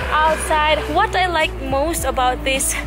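With clear music in the background, a woman speaks at a very slow pace. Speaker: travel vlogger. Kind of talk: casual vlog chat. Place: garden. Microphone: phone near.

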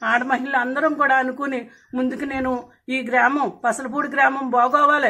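Her voice raised and projected, a woman speaks with a high pitch and monotone, flat intonation. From Andhra Pradesh, West Godavari. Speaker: village election candidate. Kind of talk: campaign interview. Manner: halting.

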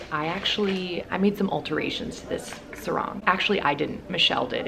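Noticeable background noise surrounds a woman talking at a fairly quick pace. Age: 20s. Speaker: fashion and lifestyle YouTuber; fashion vlogger. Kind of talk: casual vlog-style haul. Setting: hotel room on vacation. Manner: animated. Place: home room.

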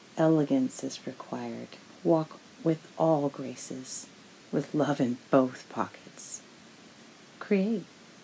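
A woman's very deep, low voice with lively intonation, a very slow pace and long, frequent pauses over noticeable background noise. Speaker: spoken word poet. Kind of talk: spoken word poem, performed with rhythmic rhyme and internal wordplay.

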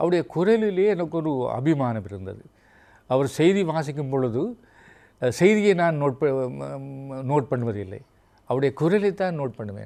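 With a dark, mellow tone, a man speaks at a fairly high pitch that makes very wide swings. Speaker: veteran radio broadcaster and writer. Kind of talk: interview.

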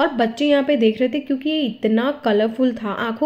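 A woman talks fairly quickly in a high, slightly mellow voice with ordinary pitch variation.

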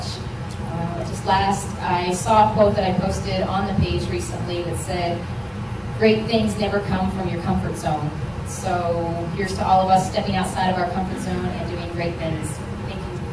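A woman speaks at a moderate pace. Her voice carries audible room echo over loud background noise. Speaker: auction school graduate. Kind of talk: graduation acceptance speech. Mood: grateful, emotional. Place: hall.

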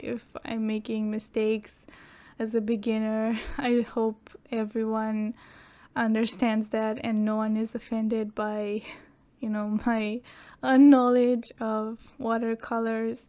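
Speaking at a very slow pace, a woman has a fairly high pitch, fairly even intonation, and a dark, mellow tone. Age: 20s. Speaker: art YouTuber. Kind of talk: casual talk while painting. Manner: hesitant, many fillers.

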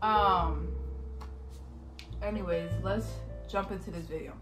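Clear music sits in the background as a woman speaks at a moderate pace. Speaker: vlogger. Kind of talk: casual vlog chat. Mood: warm, relaxed. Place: home room. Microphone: phone near.

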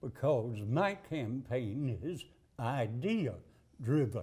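In a Southern US accent, a man speaks at a very slow pace and a fairly high pitch, his tone dark and mellow, somewhat breathy, with lively intonation. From Alabama. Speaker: political candidate. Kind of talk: interview. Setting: studio couch interview. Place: studio. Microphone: lapel.

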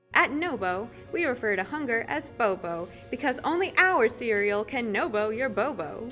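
A woman's voice with very wide pitch swings over background music. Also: fairly high pitch for a woman, moderate pace. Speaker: voice-over artist. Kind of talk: parody TV commercial read.

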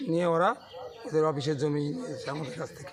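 With noticeable background noise, a man's high-pitched voice rises and falls in an ordinary way. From West Bengal, Sandeshkhali area. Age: old. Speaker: villager protesting land grabs. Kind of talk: street interview.

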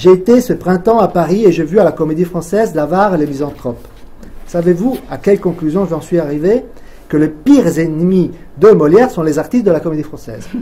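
A man speaks at a high pitch and a fairly quick pace. His pitch shows ordinary variation. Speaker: event moderator. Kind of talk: reading aloud. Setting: stage with audience. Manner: halting.

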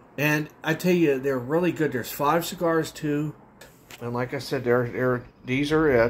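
Over light background noise, a man with a fairly high pitch talks at a moderate pace and fairly even intonation. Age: 40s. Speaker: vlogger reviewing cigars; cigar reviewer. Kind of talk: casual product review video. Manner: hesitant with many fillers. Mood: relaxed, friendly. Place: home room. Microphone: phone near.

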